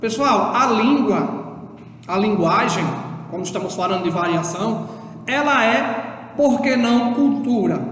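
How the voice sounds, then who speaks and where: At a very slow pace and with a northeastern Brazilian accent, the speaker is heard against noticeable background noise. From Brazil, Northeast. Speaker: schoolteacher. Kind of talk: lecture. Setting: recorded remote class video. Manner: halting, with repeated fillers.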